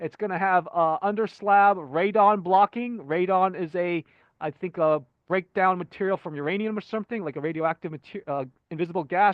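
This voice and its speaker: His voice sits high in pitch. The speaker is a man whose pitch shifts in an ordinary way. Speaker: channel owner presenting home design ideas. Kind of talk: casual presentation over slides. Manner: fast; hesitant, many fillers and restarts.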